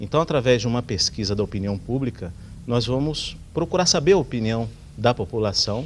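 A man of medium pitch talks at a moderate pace. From São José dos Campos, São Paulo state, Brazil; São Paulo state, Brazil. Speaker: politician. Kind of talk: TV interview. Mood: calm, measured. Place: studio. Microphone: lapel.

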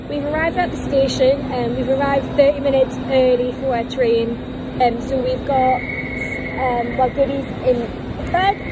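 A woman talks at a moderate pace against loud background noise. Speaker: vlogger. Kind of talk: casual vlog chat. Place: station. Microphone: phone near.

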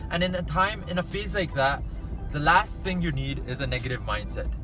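A man talks at a fairly quick pace in a dry sound with no echo. Clear music plays in the background. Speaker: medical student vlogger. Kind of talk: casual vlog chat. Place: car. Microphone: phone near.

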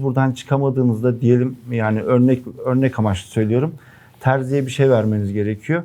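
With a dark, mellow tone, a man speaks fairly quickly at a medium pitch and with ordinary pitch variation. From Erzurum, eastern Turkey. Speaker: entrepreneur. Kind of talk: investment pitch.

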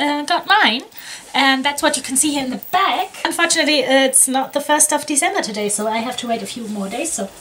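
Over light background noise, a woman projects a raised voice with lively intonation at a fairly quick pace. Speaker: jigsaw hobby vlogger. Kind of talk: casual vlog chat. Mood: cheerful, a bit scattered. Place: home room.

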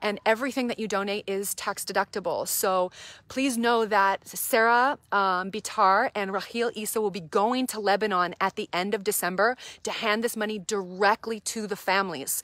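Animated in tone, a woman speaks at a moderate pace with a fairly high pitch, dry sound with no echo and a quiet background. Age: 30s. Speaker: reverend and nonprofit church director. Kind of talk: live-stream fundraising appeal. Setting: live social media video. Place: garden. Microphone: phone near.

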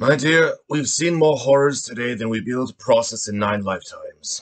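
The speaker uses a put-on character voice. The pace is fairly quick. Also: man, medium pitch for a man.

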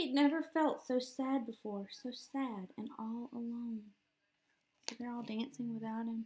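A woman speaks at a fairly slow pace and a fairly high pitch, her intonation fairly even. Her tone is dark and mellow with a slightly husky edge.

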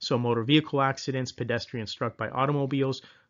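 At a fairly quick pace, a man with medium pitch and fairly even intonation speaks in an unremarkable speaking voice. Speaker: PA exam tutor. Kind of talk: tutorial. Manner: informal.

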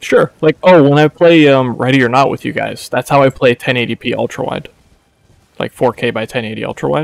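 Dry and close with no echo, the recording carries a man with a plain, everyday voice talking at a moderate pace and medium pitch with fairly even intonation. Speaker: video game streamer. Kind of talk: casual gaming stream chat. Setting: voice chat with friends while streaming.

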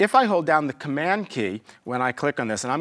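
Pitch swings very widely as a man talks. The background is quiet. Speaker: software tutorial instructor. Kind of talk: tutorial. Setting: screen recording. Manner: fast talker; informal, humorous asides. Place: studio.

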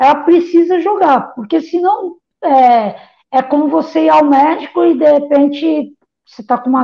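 Fairly slowly, a woman talks at a high pitch. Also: quiet background. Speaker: guest. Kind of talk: interview answer. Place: home room. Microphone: earbuds.

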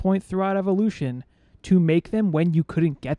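Against a quiet background with a dry sound and no echo, a man speaks with a dark, mellow tone, a high pitch and ordinary pitch variation. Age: 30s. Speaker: podcast co-host. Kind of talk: casual chat. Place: home room. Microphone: studio mic.

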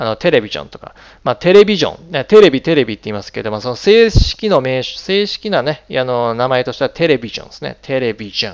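A man at a very fast pace, with very wide pitch swings, over a quiet background. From Japan. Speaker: English pronunciation teacher. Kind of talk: tutorial. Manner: hesitant, many fillers. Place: home room. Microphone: headset.

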